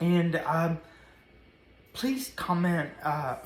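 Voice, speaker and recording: A woman speaks with an American accent at a fairly low pitch. Her voice is somewhat breathy. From US South, Nashville, Tennessee. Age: 30s. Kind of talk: personal testimony to camera. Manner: halting, many fillers.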